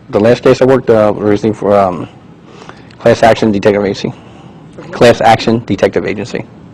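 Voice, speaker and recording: Over noticeable background noise, a man with a fairly low pitch talks at a fairly quick pace with fairly even intonation and long, frequent pauses. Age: 60s. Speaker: private investigator testifying as a witness. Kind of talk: deposition testimony. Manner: hesitant, many fillers.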